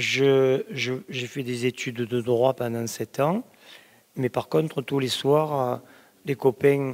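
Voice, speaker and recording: At a very slow pace, a man with a medium pitch speaks with ordinary pitch variation, recorded dry and close with no echo. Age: 70s. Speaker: clairvoyant. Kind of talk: interview. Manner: halting.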